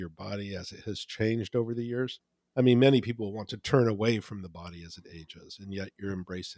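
Fairly quick and fairly low in pitch, a man talks in an ordinary speaking voice. The recording is very clean with a silent background, and the sound is dry and close with no echo. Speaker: podcast host and magazine editor. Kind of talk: interview conversation.

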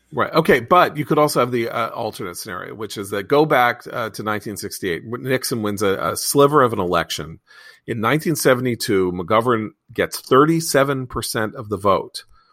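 A man with an unremarkable speaking voice talks at medium pitch with lively intonation in a very clean recording with a silent background. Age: 50s. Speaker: magazine editor and podcast host. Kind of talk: casual political panel discussion.

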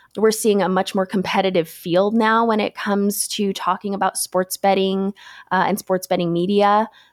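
A woman with an American accent speaks at a medium pitch and a moderate pace, with monotone, flat intonation and very even loudness. The recording is very clean with a silent background and a dry, close sound with no echo. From US West, Las Vegas. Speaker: sports betting analyst. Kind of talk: casual interview.

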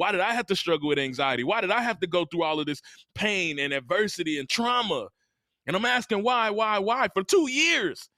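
A man with an American accent speaks in a raised, projected voice at a fairly quick pace, his high pitch swinging very widely. His tone is bright, sharp and animated. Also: dry, close sound with no echo, very clean recording, silent background. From US South. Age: 30s. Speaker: motivational speaker. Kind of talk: casual interview.

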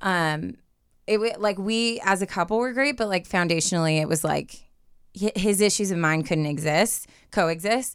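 On a very clean recording with a silent background, a woman with a normal speaking voice and an American accent talks at a moderate pace in a medium pitch, with ordinary pitch variation and very even loudness. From Southern California. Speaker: dating show contestant. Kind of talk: casual chat. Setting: studio.

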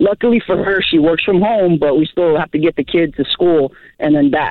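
In an ordinary speaking voice, a man talks at a moderate pace with fairly high pitch, ordinary pitch variation and very even loudness. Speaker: caller. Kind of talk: call-in advice conversation. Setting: phone call.

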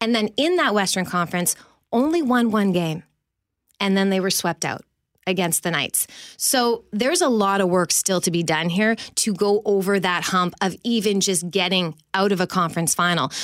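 Over a very clean recording with a silent background, a woman with a Canadian accent speaks in a plain, everyday voice at medium pitch, moderate pace and very even loudness. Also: ordinary pitch variation. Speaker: hockey broadcaster. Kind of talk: casual chat and sports analysis. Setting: studio.

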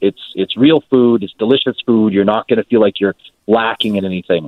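Talking at a fairly quick pace, a man has a plain, everyday voice of medium pitch with ordinary pitch variation. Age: 50s. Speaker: fitness trainer. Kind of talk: sales pitch. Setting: phone call.

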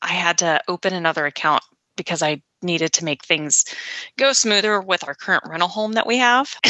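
Lively intonation marks a woman's plain, everyday voice, fairly low in pitch and at a fairly quick pace. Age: 40s. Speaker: former nurse practitioner and business owner. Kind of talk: interview.

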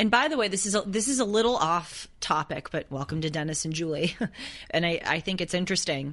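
In a normal speaking voice over a quiet background, the speaker talks fairly quickly with lively intonation. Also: woman, fairly low pitch for a woman. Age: 20s. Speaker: podcast co-host. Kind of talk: casual chat.

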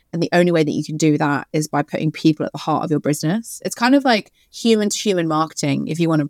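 A woman with a fairly low pitch and ordinary pitch variation talks at a very fast pace. The recording is very clean, with a silent background and a dry, close sound with no echo. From Sydney and West London. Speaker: personal branding agency founder. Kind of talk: podcast interview.

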